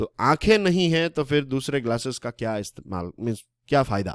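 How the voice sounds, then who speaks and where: Delivered with a Gujarati accent and lively intonation, the speech sounds dry and close with no echo on a very clean recording with a silent background. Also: man. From Gujarat, Saurashtra (Kathiawar). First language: Gujarati (speaking Hindi). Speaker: current affairs educator. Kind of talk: lecture. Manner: conversational, Hindi-English code-mixing.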